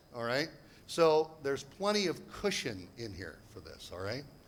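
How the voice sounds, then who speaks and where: A man with an American accent, fairly high in pitch, at a moderate pace, with audible room echo. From United States. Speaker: property investment seminar speaker. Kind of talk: seminar presentation. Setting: stage with audience. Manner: animated.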